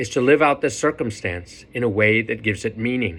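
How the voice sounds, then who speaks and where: There is vocal fry in this man's voice, captured on a very clean recording with a silent background. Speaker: priest. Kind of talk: sermon. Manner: fast.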